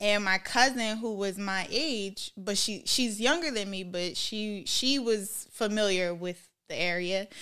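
In a normal speaking voice with an American accent, a woman talks at a medium pitch over a very clean recording with a silent background. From Minnesota, US. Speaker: podcast guest. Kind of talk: casual interview chat.

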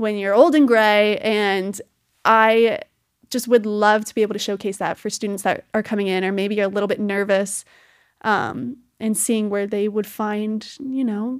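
An ordinary speaking voice, a woman at a fairly high pitch and fairly slow pace, on a very clean recording with a silent background. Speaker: college student podcaster. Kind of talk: casual monologue.

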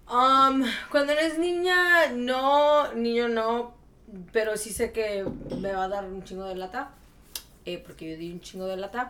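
A woman with a fairly high voice speaks fairly slowly, with very wide pitch swings, big swings in loudness and long, frequent pauses. Audible room echo and noticeable background noise fill the recording. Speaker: podcast co-host. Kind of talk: casual chat.

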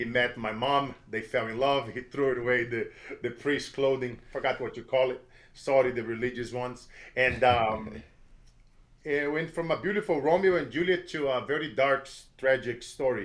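Moderate pace with ordinary pitch variation. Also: man, medium pitch for a man. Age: 40s. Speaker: motivational speaker. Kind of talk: interview. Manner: energetic.

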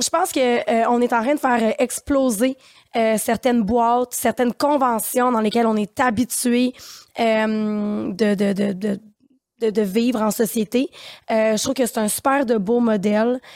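A woman with a Quebec accent at fairly high pitch, fairly slow pace, fairly even intonation and very even loudness, in a dry, close sound with no echo and a very clean recording with a silent background. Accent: Québécois French. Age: 30s. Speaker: podcast co-host. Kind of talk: casual chat. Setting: studio.

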